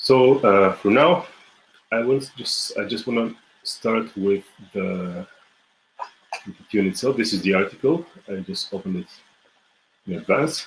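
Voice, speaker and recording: A man with a Bulgarian accent speaks in a medium-pitched voice at a moderate pace, with lively intonation and long, frequent pauses. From Bulgaria, Smolyan mountains. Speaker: folk musician and music teacher. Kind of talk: online music lesson. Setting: live video stream. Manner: halting, many fillers and restarts.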